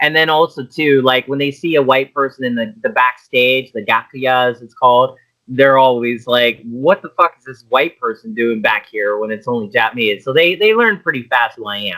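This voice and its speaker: A man with a Pittsburgh accent at a moderate pace and medium pitch, with ordinary pitch variation and hardly any pauses. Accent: Pittsburgh American English. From US, Pittsburgh. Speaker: idol manager and director. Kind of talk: casual interview chat.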